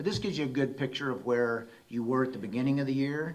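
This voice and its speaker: A man's voice with audible room echo. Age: 60s. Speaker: auditor. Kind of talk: presentation at a council meeting.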